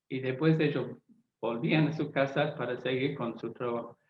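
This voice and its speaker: Room echo is audible as a man speaks at a fairly slow pace. His pitch is medium and his intonation fairly even. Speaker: Bible translator. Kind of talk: lecture. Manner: halting with fillers and self-repairs.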